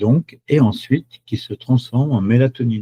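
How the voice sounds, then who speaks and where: A man speaks with a dark, mellow tone and ordinary pitch variation. His voice is somewhat breathy, and the sound is dry and close with no echo. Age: 70s. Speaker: chocolate product seller. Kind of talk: webinar presentation. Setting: online webinar. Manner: hesitant, many fillers.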